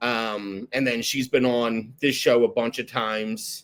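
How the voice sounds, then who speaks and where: A man speaks with a Philadelphia accent. His pitch is medium and his intonation fairly even. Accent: Philadelphia-area. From South Jersey, near Philadelphia. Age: 30s. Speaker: podcast host in recovery. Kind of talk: casual interview chat. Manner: casual, filler-heavy.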